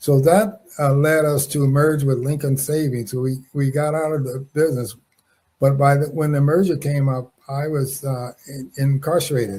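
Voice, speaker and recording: With an American accent, a man speaks at a moderate pace in a fairly high, somewhat breathy voice with a dark, mellow tone and fairly even intonation. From Los Angeles, California. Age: 80s+. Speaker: wrongfully convicted former prisoner, businessman. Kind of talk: interview. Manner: halting, many fillers and restarts.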